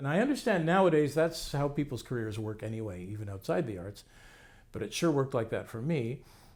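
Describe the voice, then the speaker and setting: A man with a Canadian accent talks at a fairly quick pace and fairly high pitch in an unremarkable speaking voice. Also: lively intonation. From Canada. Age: 60s. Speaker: playwright and professor. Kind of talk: interview monologue. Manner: casual, reflective.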